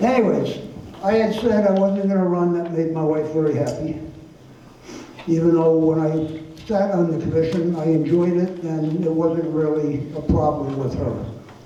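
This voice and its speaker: Someone speaks at a moderate pace with fairly even intonation and long, frequent pauses, amid noticeable background noise and audible room echo. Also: man. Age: 80s+. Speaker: political candidate. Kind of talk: candidate debate.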